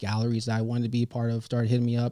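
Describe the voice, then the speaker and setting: A dark, mellow tone and an American accent carry this very fast speech, captured in a very clean recording with a silent background. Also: man. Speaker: visual artist. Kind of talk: interview. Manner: soft-spoken.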